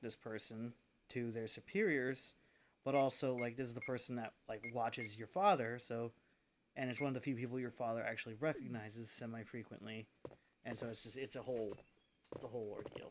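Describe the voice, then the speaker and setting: A quiet man at medium pitch, fairly even intonation, on a very clean recording with a silent background. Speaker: gaming streamer. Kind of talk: live gameplay stream chat. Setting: streaming from home. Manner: quiet, lowered voice.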